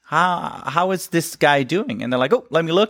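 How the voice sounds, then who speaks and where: A man speaks in a Dutch accent with a high pitch. His intonation is lively. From Netherlands. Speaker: animal trainer. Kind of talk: interview. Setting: stage with audience.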